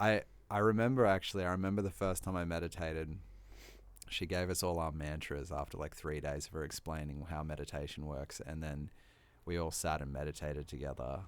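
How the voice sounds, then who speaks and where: In an Australian accent, a man with a very deep, low pitch speaks at a moderate pace. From Australia, Sunshine Coast, Queensland. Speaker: hip hop artist. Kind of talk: casual chat.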